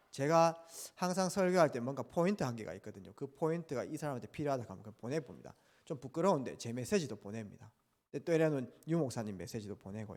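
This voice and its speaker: The man talks at a very fast pace with a medium pitch and very wide pitch swings. The recording is very clean, with a silent background. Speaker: pastor. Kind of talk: sermon.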